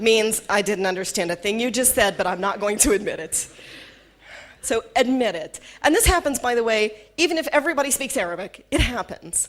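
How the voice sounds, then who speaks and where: In a Southern US accent, a woman with a fairly high pitch talks fairly quickly, her tone animated and her intonation lively. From US South. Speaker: corporate trainer. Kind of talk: workshop talk.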